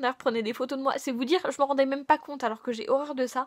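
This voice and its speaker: A woman speaks with fairly even intonation on a very clean recording with a silent background. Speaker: YouTuber. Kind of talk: vlog monologue. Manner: hesitant, casual.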